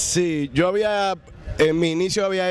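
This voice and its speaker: A man with a Dominican accent speaks at a very slow pace. The sound is dry with no echo, over light background noise. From Dominican Republic. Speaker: actor and comedian. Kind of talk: interview answer. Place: hall. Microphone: handheld.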